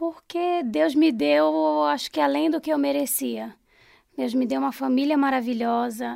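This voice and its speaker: A woman's fairly high voice with very wide pitch swings, in a very clean recording with a silent background. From Pará, Brazil (Belém). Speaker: food business owner. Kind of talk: interview.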